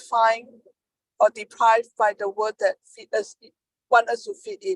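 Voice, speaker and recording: With a non-native accent, a woman speaks at a fairly high pitch with ordinary pitch variation, the sound dry and close with no echo. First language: not English. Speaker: peer advocate. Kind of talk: panel discussion. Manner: halting.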